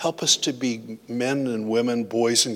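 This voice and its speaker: Speaking with an American accent, a man uses a bright, sharp tone and monotone, flat intonation at a fairly slow pace. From US Midwest (Iowa). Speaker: pastor. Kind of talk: sermon.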